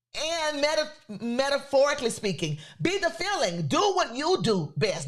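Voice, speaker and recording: Speaking at a moderate pace in a Louisiana accent, a woman uses vocal fry, an animated tone and very wide pitch swings. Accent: Southern US (Louisiana). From US South, Louisiana. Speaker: podcast host, creator business coach. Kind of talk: motivational talk.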